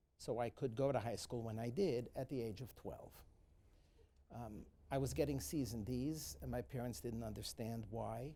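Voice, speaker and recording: With a New York accent, a man at medium pitch speaks in a dark, mellow tone with vocal fry and lively intonation. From New York City, the Bronx. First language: Yiddish. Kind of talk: personal account in a moderated talk. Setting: live event with student audience. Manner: halting, many fillers.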